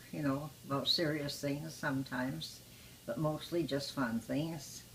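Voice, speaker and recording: Noticeable background noise sits behind a woman whose pitch is very deep and low. She keeps a moderate pace and fairly even intonation. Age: 90s. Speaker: retirement home resident. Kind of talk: interview.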